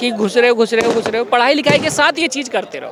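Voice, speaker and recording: An extremely high-pitched man speaks over noticeable background noise. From India, Noida. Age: young. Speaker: YouTube actor. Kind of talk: interview.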